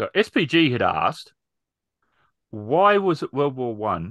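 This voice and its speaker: A man speaks with lively intonation, the sound dry with no echo and the background quiet. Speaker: podcast host and role-player; podcast host. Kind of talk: casual chat. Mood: relaxed, friendly. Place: home room. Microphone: studio mic.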